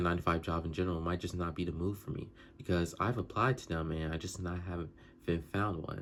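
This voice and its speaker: A man speaks at a fairly quick pace in a very deep, low voice. The recording is very clean, with a silent background. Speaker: vlogger. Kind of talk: casual vlog monologue. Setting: talking to camera. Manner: fast; stuttering, halting.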